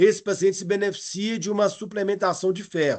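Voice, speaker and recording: Against a quiet background, a man with a high voice speaks at a fairly quick pace in a flat monotone. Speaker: medical lecturer, cardiology. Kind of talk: lecture. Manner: fast; halting, many repetitions.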